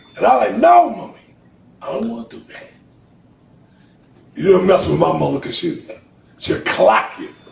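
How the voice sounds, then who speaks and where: Audible room echo and noticeable background noise accompany the recording. A man speaks at a moderate pace. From Boston, Massachusetts (Roxbury). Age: 50s. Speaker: motivational speaker. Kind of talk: testimony.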